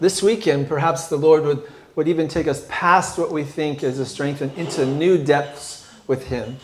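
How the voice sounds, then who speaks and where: Over noticeable background noise and audible room echo, a man with a fairly high pitch talks at a very slow pace with fairly even intonation. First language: English (speaking French). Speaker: guest preacher. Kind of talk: sermon. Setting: church.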